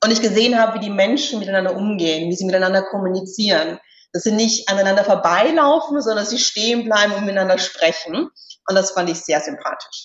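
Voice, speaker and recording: A woman races at a very fast pace, her medium-pitched voice showing ordinary pitch variation. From Austria, Styria. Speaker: executive search consultant. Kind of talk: interview.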